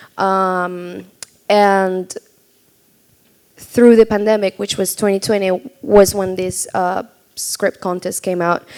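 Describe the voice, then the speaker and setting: With a Spanish accent, a woman talks at a fairly slow pace, her medium pitch held in fairly even intonation. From Argentina. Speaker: filmmaker. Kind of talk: panel discussion. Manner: halting, many fillers.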